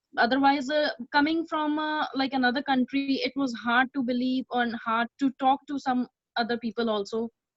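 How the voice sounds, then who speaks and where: With an Indian accent, a woman speaks at a moderate pace. Her voice is high. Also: fairly even intonation, dry, close sound with no echo. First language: not English. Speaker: community volunteer. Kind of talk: personal testimony. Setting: video call. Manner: halting, many fillers.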